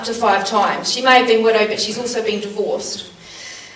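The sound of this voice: An unforced reading voice moves along in fairly even intonation.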